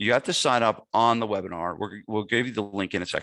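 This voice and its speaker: A man speaks with a New Jersey accent. His pitch is fairly low and his pace fairly quick. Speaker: gym owner and fitness business marketing coach. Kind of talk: webinar sales pitch. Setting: webinar. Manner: casual, with many fillers.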